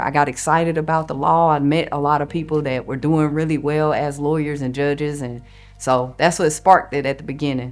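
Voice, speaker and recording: A woman with a Southern US accent and a very deep, low pitch talks at a fairly quick pace with hardly any pauses and fairly even intonation while music plays in the background. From North Carolina, Forsyth County. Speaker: lawyer. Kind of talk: interview testimony.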